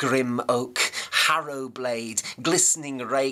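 Intonation stays fairly even here. The speaker reads in a natural reading voice.

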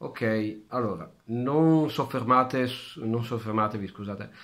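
A man speaks at a very slow pace, with a quiet background behind him. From Italy. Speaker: vlogger. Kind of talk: casual vlog chat. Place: kitchen. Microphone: phone near.

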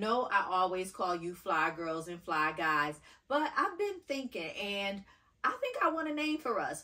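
Her pitch swings very widely, with a bright, sharp tone. The woman is heard over a quiet background. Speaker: fashion vlogger. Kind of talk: casual vlog chat. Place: home room. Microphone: camera far.

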